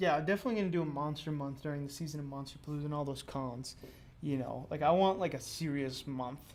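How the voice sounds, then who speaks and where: A man with a fairly high pitch speaks very fast, his intonation fairly even. Room echo is audible. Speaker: sculptor and YouTuber. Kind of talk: live stream chat while sculpting. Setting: live stream at home studio. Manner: monotone; hesitant, many fillers.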